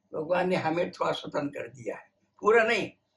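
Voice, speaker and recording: A man talks in a high pitch. His pitch variation is ordinary. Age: 80s+. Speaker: scientist. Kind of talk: interview. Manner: halting.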